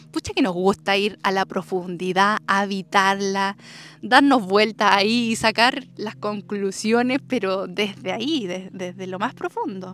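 Using ordinary pitch variation, a woman with a medium pitch speaks at a fairly slow pace. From southern Chile, rural Andes. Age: 20s. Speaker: podcast host. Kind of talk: personal storytelling monologue. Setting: outdoors in the countryside. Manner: warm, affectionate.

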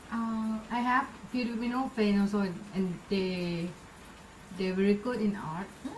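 The speaker has a Thai accent and ordinary pitch variation. Long, frequent pauses break up the speech, and background noise is noticeable. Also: woman, medium pitch for a woman, moderate pace. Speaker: podcast host. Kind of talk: casual interview.

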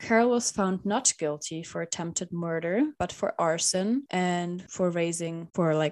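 Recorded very cleanly against a silent background, a woman with a non-native accent speaks fairly slowly at a fairly low pitch with ordinary pitch variation. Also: hardly any pauses. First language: not English. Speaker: podcast co-host. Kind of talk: casual storytelling. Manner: halting, self-correcting.

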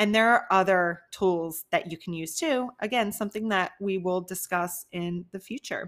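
A woman's unremarkable speaking voice at medium pitch and a moderate pace, with ordinary pitch variation and hardly any pauses. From US Northeast, New Jersey near Philadelphia. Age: 30s. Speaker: online fitness coach and podcast host. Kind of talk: solo podcast monologue.

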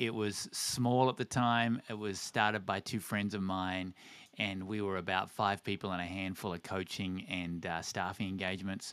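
The speaker has an Australian accent and fairly even intonation on a very clean recording with a silent background. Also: man, very deep, low pitch for a man, moderate pace. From Australia, Tasmania. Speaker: organization CEO and former pastor. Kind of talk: interview conversation.

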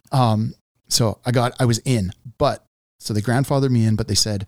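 In a normal speaking voice, a man talks at a fairly quick pace and medium pitch with fairly even intonation, the sound dry and close with no echo. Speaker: journeyman lineman and podcast host. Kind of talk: casual interview conversation. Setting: studio.

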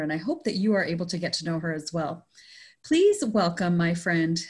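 Fairly low and somewhat breathy, a woman's voice has lively intonation on a very clean recording with a silent background. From Canada, Indian family. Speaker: podcast host and consultant. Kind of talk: interview conversation.

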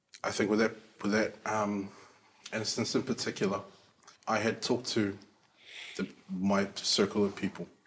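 A man with a fairly low pitch speaks in a monotone, flat intonation at very even loudness, leaving long, frequent pauses over noticeable background noise. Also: moderate pace. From South Auckland, New Zealand. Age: 30s. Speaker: podcast guest. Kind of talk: casual chat.

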